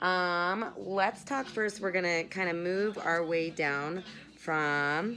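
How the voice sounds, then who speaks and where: Music plays in the background while a woman speaks. Her pitch is fairly low, with ordinary variation. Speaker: massage instructor for acrobats and aerialists. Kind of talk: guided tutorial. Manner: casual, chatty with fillers.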